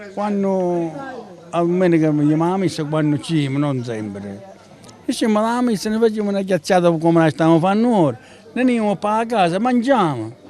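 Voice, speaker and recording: Speaking in a Sicilian accent, a man with a high pitch talks at a moderate pace with lively intonation and long, frequent pauses, over noticeable background noise. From Sicily. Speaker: livestock farmer. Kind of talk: interview answer.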